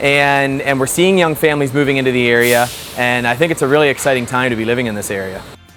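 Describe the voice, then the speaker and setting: Someone with an Ontario accent talks at a very fast pace, with music in the background and audible room echo. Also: man, medium pitch for a man, ordinary pitch variation. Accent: rural Ontario Canadian. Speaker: farmer. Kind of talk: interview.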